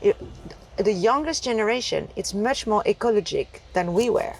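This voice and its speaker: Over noticeable background noise, a woman with a French accent speaks in a fairly high pitch with lively intonation. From France. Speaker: entrepreneur. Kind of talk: interview conversation. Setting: inside a taxi.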